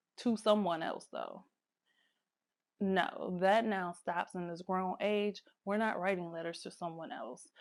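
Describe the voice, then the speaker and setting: A woman uses an ordinary speaking voice at a medium pitch, with a fairly slow pace and fairly even intonation, on a very clean recording with a silent background. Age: 30s. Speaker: lifestyle vlogger. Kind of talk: casual talk to camera.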